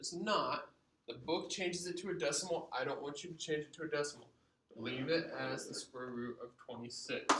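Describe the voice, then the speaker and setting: Audible room echo colors a man's fairly high-pitched voice as he talks at a fairly quick pace, with ordinary pitch variation and big swings in loudness. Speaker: math teacher. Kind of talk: lecture.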